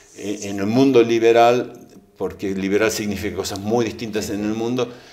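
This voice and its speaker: In a room with audible echo, a man speaks at a moderate pace, his fairly low, dark, mellow voice flat and monotone. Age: 60s. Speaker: economist, think tank figure. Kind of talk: interview conversation. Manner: hesitant, many fillers.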